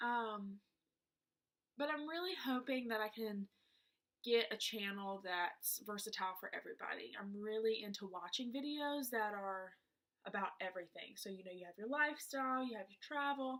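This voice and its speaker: A woman's fairly high voice shows big swings in loudness. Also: moderate pace. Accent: strong Southern US. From US South, South Georgia. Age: 20s. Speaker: beauty vlogger. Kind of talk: casual chat. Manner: hesitant, many fillers.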